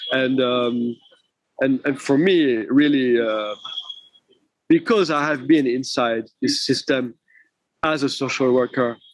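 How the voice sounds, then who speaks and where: A man speaks very slowly with a French accent, leaving long, frequent pauses. His voice sits at medium pitch with fairly even intonation. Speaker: film director. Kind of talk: interview. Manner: halting.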